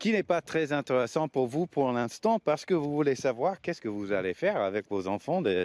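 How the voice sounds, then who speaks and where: With a non-native accent, a man speaks at a fairly slow pace with very wide pitch swings in a dry, close sound with no echo. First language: not French (speaking French). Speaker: skateboard coach. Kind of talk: informal explanatory talk to parents. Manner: hesitant, many fillers and repetitions.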